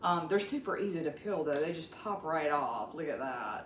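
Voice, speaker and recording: A woman talks with a Southern US accent. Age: 50s. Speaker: cooking vlogger. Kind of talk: cooking tutorial. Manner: casual and chatty.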